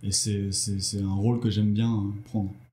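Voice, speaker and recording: Audible room echo fills the recording. A man speaks at a fairly quick pace. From Brittany, France. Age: 40s. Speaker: entrepreneur. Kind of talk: interview. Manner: hesitant.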